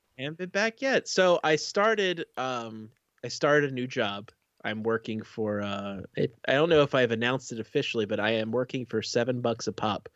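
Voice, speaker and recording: A man speaks with lively intonation. He has an unremarkable speaking voice. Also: medium pitch for a man, moderate pace. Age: 40s. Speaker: podcast co-host. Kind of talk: casual chat. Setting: live stream.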